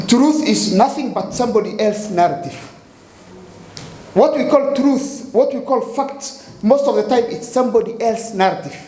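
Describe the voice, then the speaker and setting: Speaking at a moderate pace with an African accent, a man with an extremely high-pitched voice and ordinary pitch variation is heard over noticeable background noise and audible room echo. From Kenya. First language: Somali. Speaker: poet and playwright. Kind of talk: spoken-word performance with explanation. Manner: halting, repetitive.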